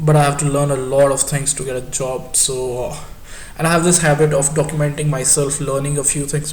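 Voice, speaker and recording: Monotone, flat intonation amid noticeable background noise and audible room echo. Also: man. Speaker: student vlogger. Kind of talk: casual vlog monologue. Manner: halting, many fillers and repetitions.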